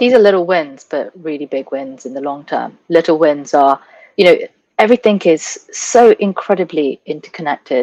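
A woman talks at a moderate pace, with a fairly low pitch and a dark, mellow tone. Her intonation is lively, her loudness swings widely, and the sound is dry and close with no echo. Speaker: sustainability expert and entrepreneur. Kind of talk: interview.

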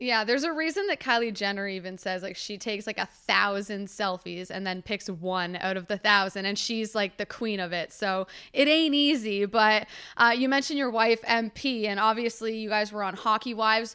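A woman with a Canadian accent speaks in a fairly high, bright, sharp voice with ordinary pitch variation and hardly any pauses, on a very clean recording with a silent background. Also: moderate pace. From London, Ontario, Canada. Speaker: podcast co-host, sports broadcaster. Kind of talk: casual chat.

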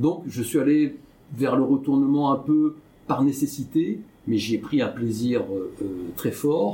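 Here a man speaks very slowly, leaving long, frequent pauses. His tone is dark and mellow, with a fairly high pitch and ordinary pitch variation. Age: 60s. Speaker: entrepreneur and business investor. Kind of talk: interview. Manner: halting, many hesitations.

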